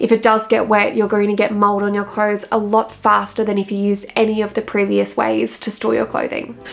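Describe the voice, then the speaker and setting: A woman speaks with an Australian accent at a fairly quick pace. She hardly pauses at all. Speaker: wardrobe stylist and video creator; video creator. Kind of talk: tutorial. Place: home room.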